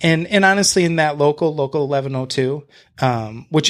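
A man with an American accent has an ordinary speaking voice, fairly high in pitch with ordinary pitch variation. The recording is very clean, with a silent background. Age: 30s. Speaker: real estate agent and house flipper. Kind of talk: casual interview chat.

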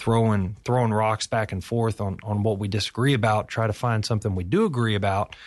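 A man with an Appalachian accent talks at a fairly quick pace with fairly even intonation. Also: quiet background. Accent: Appalachian Kentucky. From Kentucky. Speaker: agriculture company founder. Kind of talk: radio interview. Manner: halting, many repeats and fillers.

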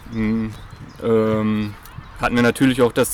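There is noticeable background noise as a man talks at medium pitch. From Germany, Münsterland (Dülmen area). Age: 30s. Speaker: athletics coach. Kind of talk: interview. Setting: at a sports club.

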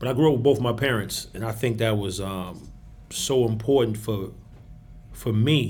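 Audible room echo surrounds a man with a New York accent speaking in fairly even intonation. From New York (Queens, Long Island). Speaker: university recreation director. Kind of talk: casual chat. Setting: university recreation center.

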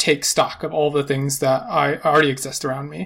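A man speaks at a moderate pace with a fairly high pitch. It is an unremarkable speaking voice. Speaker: podcast host. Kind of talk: interview conversation.

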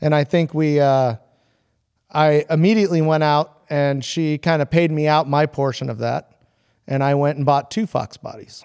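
In a normal speaking voice, a man with a fairly high pitch talks at a moderate pace with fairly even intonation, on a very clean recording with a silent background. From San Diego, California. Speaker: hot rod fabrication shop owner. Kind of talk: casual chat.

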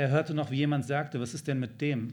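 A slightly breathy man speaks in a flat monotone at medium pitch, with audible room echo. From Germany, Hanover. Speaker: novelist. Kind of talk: reading aloud. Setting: stage with audience.

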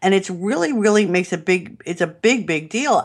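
A woman with a New York accent and ordinary pitch variation. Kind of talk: interview. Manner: animated.

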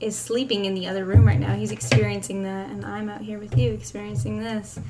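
A woman speaks over noticeable background noise. Room echo is audible. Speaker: podcast co-host, parent. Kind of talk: casual chat. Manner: hesitant. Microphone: echoey sound.

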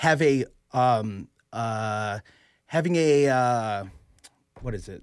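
Recorded very cleanly over a silent background, the speaker uses ordinary pitch variation and an American accent. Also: man. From Chicago. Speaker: sports blogger. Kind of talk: casual interview.

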